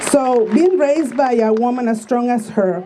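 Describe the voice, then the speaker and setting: Noticeable background noise and audible room echo surround a woman speaking with a Spanish accent. Her pitch is fairly high, with ordinary variation. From Mexico (Tijuana). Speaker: activist speaker. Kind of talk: speech read aloud at a rally.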